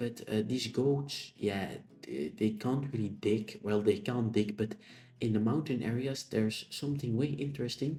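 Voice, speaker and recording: A man's somewhat breathy voice, dark and mellow in tone, at a moderate pace with ordinary pitch variation. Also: medium pitch for a man. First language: not English (calls it kalk in own language). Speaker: video game YouTuber. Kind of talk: gameplay commentary. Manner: halting, many fillers.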